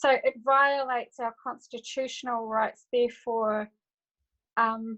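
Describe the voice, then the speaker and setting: Her pitch is high and her intonation monotone and flat. The woman speaks at a fairly slow pace. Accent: New Zealand. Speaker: audience participant in webinar. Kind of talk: casual discussion on video call. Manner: halting.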